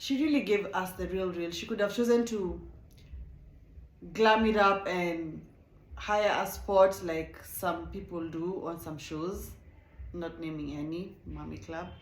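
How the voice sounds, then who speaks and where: In an animated tone and a non-native accent, a woman speaks at a fairly slow pace with long, frequent pauses, ordinary pitch variation and big swings in loudness, amid audible room echo. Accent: non-South African accent, self-noted. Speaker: reality TV reviewer, YouTuber. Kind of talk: casual show review.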